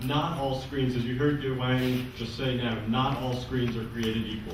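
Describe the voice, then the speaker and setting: A man at medium pitch and moderate pace, with noticeable background noise and audible room echo. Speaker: panel moderator. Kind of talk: conference panel introduction.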